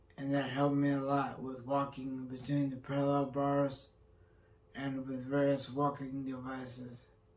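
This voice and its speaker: Audible room echo surrounds a man's fairly high voice. He speaks at a fairly slow pace with monotone, flat intonation. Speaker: stroke survivor vlogger. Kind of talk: personal vlog.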